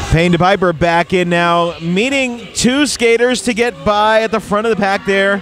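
Faint music plays in the background as a man speaks at a moderate pace with high pitch. His loudness stays very even, the pitch varies in an ordinary way, and the sound is dry with no echo. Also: hardly any pauses. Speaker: roller derby commentator. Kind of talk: sports commentary, live play-by-play of roller derby. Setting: arena, live event with announcer booth. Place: stadium.

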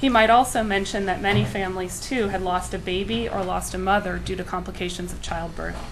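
Music plays in the background as a woman talks. She keeps a fairly quick pace with hardly any pauses. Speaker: public health worker. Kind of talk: formal presentation. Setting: county commissioners meeting room.

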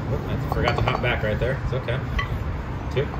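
A man speaks over loud background noise. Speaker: fitness coach. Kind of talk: workout coaching instructions. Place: street.

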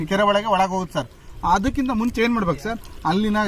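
Pitch variation is ordinary. Noticeable background noise runs under the voice. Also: man. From Shivamogga district, Karnataka. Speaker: fish farmer. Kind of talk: interview.

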